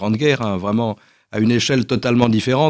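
In a very clean recording with a silent background, a man's voice comes through dry and close, with no echo. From France, Paris region. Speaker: association director. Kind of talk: radio interview. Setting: studio. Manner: halting, repeats words.

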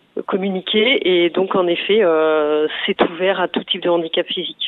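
Here is a plain, everyday voice from a woman at a medium pitch. She speaks at a fairly slow pace. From Provence-Alpes-Côte d'Azur, France. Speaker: sports federation director. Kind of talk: radio interview.

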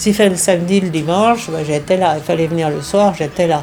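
Music plays in the background. The speaker keeps a moderate pace with ordinary pitch variation. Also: woman. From France. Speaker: day-care centre visitor. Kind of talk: interview.

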